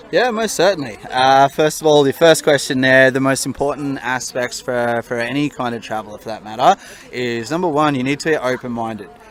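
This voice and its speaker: A man with an Australian accent at a fairly quick pace, medium-pitched with ordinary pitch variation and hardly any pauses, over noticeable background noise. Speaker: solo traveller. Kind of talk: interview answer.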